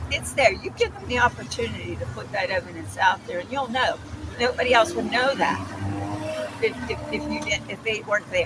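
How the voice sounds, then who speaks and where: The speaker talks at a moderate pace in an American accent, with noticeable background noise behind. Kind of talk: street interview. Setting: outdoors on a street corner. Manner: halting, self-described mumbling.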